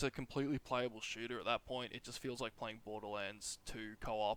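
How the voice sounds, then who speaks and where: Talking at a fairly quick pace, a man with an Australian accent comes across in a dry, close sound with no echo. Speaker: gaming YouTuber. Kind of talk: tutorial. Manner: casual, rambling delivery.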